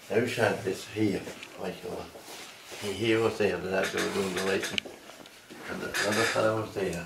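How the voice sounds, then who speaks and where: Against noticeable background noise, a man with a rural Irish accent talks at a moderate pace in a fairly low, monotone, flat voice, leaving long, frequent pauses. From Ireland. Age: 80s+. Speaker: elderly interviewee; interviewee. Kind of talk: interview. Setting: at home. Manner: halting, repetitive. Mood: hesitant, halting recollection. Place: home room. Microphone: phone near.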